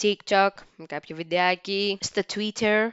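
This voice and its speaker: At a fairly slow pace, a woman speaks in a normal speaking voice at a medium pitch. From Greece. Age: 30s. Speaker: podcast host. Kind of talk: casual monologue.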